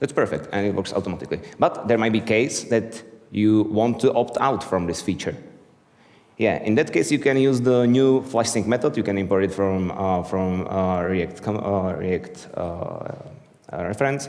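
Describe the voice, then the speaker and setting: Moderate-paced speech from a man with an Eastern European accent, fairly low pitch and ordinary pitch variation, in audible room echo. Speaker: software developer, conference speaker. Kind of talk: conference talk. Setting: stage with audience.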